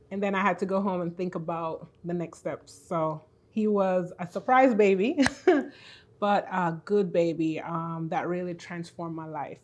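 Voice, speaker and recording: A woman in a Jamaican accent, fairly low in pitch, with fairly even intonation at a moderate pace. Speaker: faith-based business and purpose coach. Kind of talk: podcast interview.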